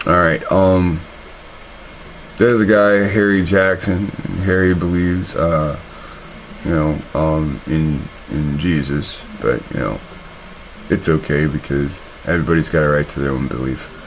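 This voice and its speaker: At a fairly slow pace, a man with a very deep, low voice speaks with ordinary pitch variation and long, frequent pauses. The recording has audible room echo and noticeable background noise. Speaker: online video commentator. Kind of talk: commentary on a replayed video. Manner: halting, many repetitions.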